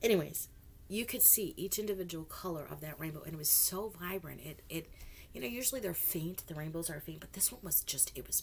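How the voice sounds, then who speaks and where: A woman talks fairly quickly in a fairly low voice with ordinary pitch variation, noticeable background noise behind her. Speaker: political commentary vlogger. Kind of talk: casual monologue. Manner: halting, many restarts.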